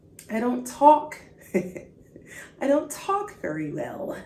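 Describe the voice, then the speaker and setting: A high-pitched woman speaks in an animated tone. Audible room echo and noticeable background noise surround her. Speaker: podcast host and faith speaker. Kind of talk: faith podcast monologue.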